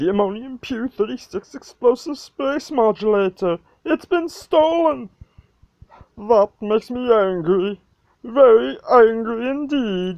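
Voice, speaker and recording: A cartoonish character voice speaks fairly slowly at a fairly high pitch. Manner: calm, prim, understated anger.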